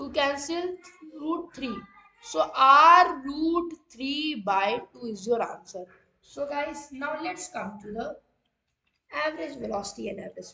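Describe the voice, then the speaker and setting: A woman with an Indian accent uses a raised, projected voice at high pitch, with a bright, sharp tone, lively intonation, and long, frequent pauses. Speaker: online physics teacher. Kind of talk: live-streamed lecture. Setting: live stream with chat.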